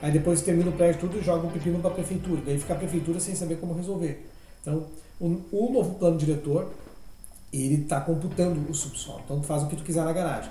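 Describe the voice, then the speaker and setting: A man speaks at a very fast pace. His pitch is high, with fairly even intonation. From Rio Grande do Sul, Brazil. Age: 40s. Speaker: architect and local party president. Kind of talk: podcast interview. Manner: casual, filler-heavy with repetitions.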